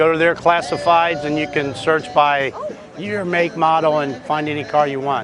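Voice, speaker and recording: A man's speech, moderate in pace and fairly even in intonation, comes through with noticeable noise in the background. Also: fairly high pitch for a man. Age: 60s. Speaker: classic car owner. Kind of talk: interview. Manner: halting.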